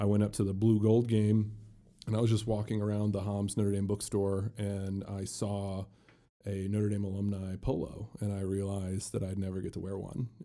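An American man speaks in a dark, mellow tone at a fairly low pitch. His intonation is flat and monotone, his pace moderate. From Indiana, South Bend. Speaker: former college football player and law student. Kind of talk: interview. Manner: halting.

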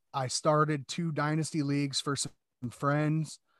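Recorded very cleanly against a silent background with a dry, close sound and no echo, a man with a Midwestern American accent speaks at a fairly slow pace in a fairly high voice. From Iowa, US Midwest. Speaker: podcast guest, fantasy football player. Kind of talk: casual chat.

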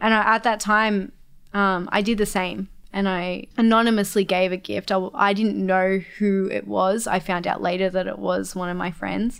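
Speaking in an Australian accent at a moderate pace, a woman with a medium pitch keeps fairly even intonation on a very clean recording with a silent background. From Australia, Melbourne. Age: 20s. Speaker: college director. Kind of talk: casual chat.

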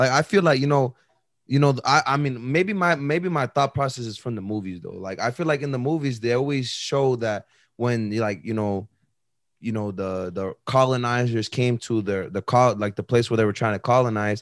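A man's ordinary speaking voice, medium in pitch, at a moderate pace with ordinary pitch variation. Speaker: podcast co-host. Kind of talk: casual chat.

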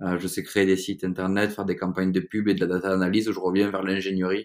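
A man's very deep, low voice, very fast and monotone, with flat intonation, on a very clean recording with a silent background. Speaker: entrepreneur. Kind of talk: interview. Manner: hesitant with repetitions.

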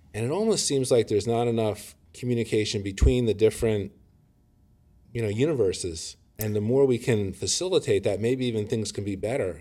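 A man with an American accent, a dark, mellow tone, medium pitch, ordinary pitch variation and a fairly quick pace, on a very clean recording with a silent background. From Detroit, Michigan. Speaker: physician. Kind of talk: casual interview.

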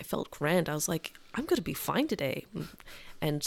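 A woman speaks with ordinary pitch variation. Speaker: podcast co-host, restaurant worker. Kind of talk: casual chat.

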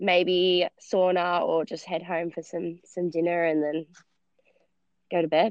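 A woman with an Australian accent speaks at a fairly low pitch and a fairly slow pace in a flat monotone. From Australia, base of the Blue Mountains (NSW). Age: 20s. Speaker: CrossFit athlete. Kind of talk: interview.

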